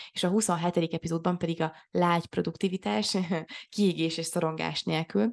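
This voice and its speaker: Over a quiet background, a woman speaks at a moderate pace in a fairly low voice with vocal fry, the sound dry and close with no echo. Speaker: podcast co-host. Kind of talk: casual chat. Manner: halting.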